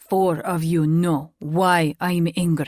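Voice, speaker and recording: A put-on character voice bellows at a middle pitch. The delivery is very slow, with monotone, flat intonation. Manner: bellowing, angry.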